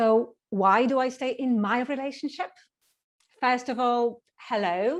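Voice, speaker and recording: Over a quiet background, a woman speaks at a very slow pace in a high pitch with ordinary pitch variation. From Poland. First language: Polish. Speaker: speech contestant. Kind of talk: humorous speech.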